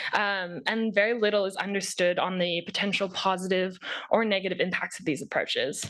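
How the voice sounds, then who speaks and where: A woman with an ordinary speaking voice talks at a moderate pace and medium pitch against a quiet background. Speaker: researcher. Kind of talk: conference presentation.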